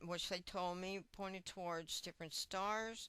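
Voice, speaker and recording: Bright and sharp, the voice holds a monotone, flat intonation. The recording is very clean, with a silent background. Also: woman. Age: 70s. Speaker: music educator and author. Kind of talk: lecture.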